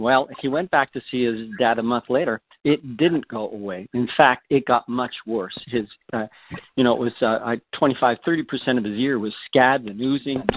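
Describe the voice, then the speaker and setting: Here a man speaks at medium pitch. His pace is moderate and his pitch varies in an ordinary way. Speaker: product expert caller. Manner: halting, filler words.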